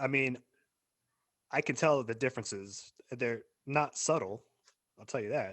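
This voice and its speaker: Someone with an American accent talks at a moderate pace with ordinary pitch variation. Long, frequent pauses break up the speech. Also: man, medium pitch for a man. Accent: American accent, self-noticed. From Arizona, US. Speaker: podcast co-host. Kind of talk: casual chat.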